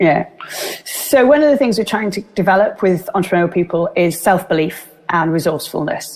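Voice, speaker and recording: Noticeable background noise sits behind a woman speaking with a Welsh accent. She moves at a fairly quick pace. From Wales. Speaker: business speaker. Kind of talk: interview. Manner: animated.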